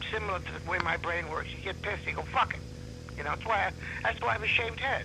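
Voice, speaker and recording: A man with an American accent at a very fast pace, with audible room echo and music in the background. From New York. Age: 60s. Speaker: comedian. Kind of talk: casual chat. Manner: animated.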